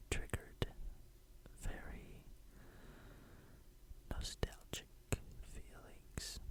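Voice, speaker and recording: Whispered words from a man. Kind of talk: ASMR nostalgic rambling. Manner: soft-spoken.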